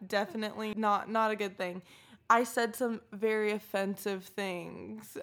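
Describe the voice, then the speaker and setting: A woman speaks at a fairly slow pace in a normal speaking voice with a fairly high pitch. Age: 20s. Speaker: podcast co-host. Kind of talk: casual chat.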